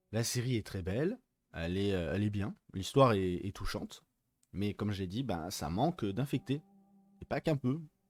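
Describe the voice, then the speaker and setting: Soft-spoken and at a moderate pace, a man with a fairly low pitch uses lively intonation and long, frequent pauses, his dry, close sound with no echo set against music in the background. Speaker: film and series reviewer. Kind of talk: casual video review. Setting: unusual location, not usual set. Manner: hesitant, many fillers.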